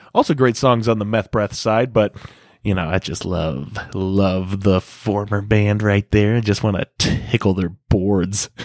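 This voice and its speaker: A man speaks at a fairly slow pace in a fairly low pitch, with a plain, everyday voice. The sound is dry and close, with no echo. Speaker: guest music reviewer. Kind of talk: casual banter, music review. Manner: joking, laughs often.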